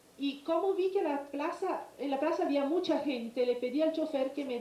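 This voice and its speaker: A woman speaks at a moderate pace with ordinary pitch variation. Noticeable background noise and audible room echo are present. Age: 50s. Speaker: eyewitness. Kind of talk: testimony. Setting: congressional hearing. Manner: hesitant, many fillers.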